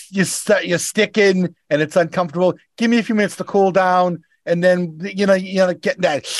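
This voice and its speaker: A man with a Boston accent, high pitch, fairly even intonation and a fairly quick pace. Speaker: rideshare driver. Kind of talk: casual chat.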